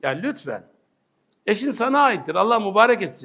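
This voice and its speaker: Animated and lively in intonation, a man speaks at a fairly slow pace in a bright, sharp tone. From Turkey, Sakarya. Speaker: Islamic preacher. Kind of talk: religious talk.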